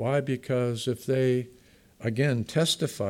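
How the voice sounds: A natural reading voice with fairly even intonation.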